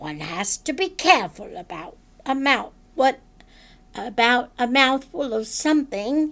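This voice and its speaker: On a very clean recording with a silent background, a woman uses a raspy, put-on character voice at a fairly slow pace. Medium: read story. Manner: fussy, precise.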